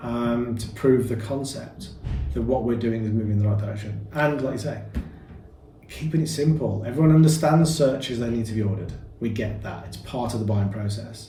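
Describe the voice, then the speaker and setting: Music plays in the background and audible room echo surrounds a man with a Birmingham accent. He talks at a fairly quick pace in a medium pitch. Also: ordinary pitch variation. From Birmingham, England. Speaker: property business founder. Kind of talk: interview. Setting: boardroom.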